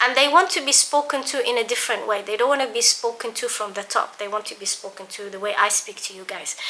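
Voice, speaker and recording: A woman talks at a very fast pace with a fairly high pitch and ordinary pitch variation, with noticeable background noise behind her. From London. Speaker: biomedical scientist and YouTuber. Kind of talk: casual vlog talk. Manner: conversational, some stammering.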